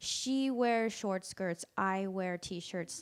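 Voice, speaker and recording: A woman speaks at a very slow pace. Her medium-pitched voice has a bright, sharp tone. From Tennessee. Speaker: storyteller. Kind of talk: live storytelling performance. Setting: stage with audience. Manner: casual, filler-heavy.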